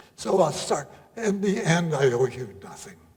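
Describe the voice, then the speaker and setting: The speech moves at a fairly slow pace amid noticeable background noise. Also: man. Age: 80s+. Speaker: poet reciter. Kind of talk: poetry reading. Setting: live audience at arts center.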